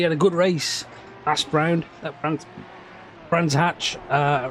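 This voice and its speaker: A man's high-pitched voice with a slight Brummie accent, at a very slow pace, music in the background. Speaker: sim racing commentator and streamer. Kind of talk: live commentary. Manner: casual, halting with repetitions.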